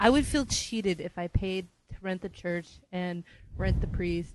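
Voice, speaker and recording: In an American accent, a woman speaks at a fairly slow pace with a dry, close sound with no echo. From Southern California. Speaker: podcast co-host. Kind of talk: casual chat.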